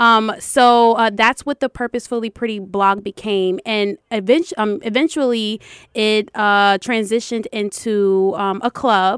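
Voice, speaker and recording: Fairly slowly and at a fairly high pitch, a woman with a plain, everyday voice talks with fairly even intonation in a very clean, dry, close recording with a silent background and no echo. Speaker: educational consultant and foundation founder. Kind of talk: interview.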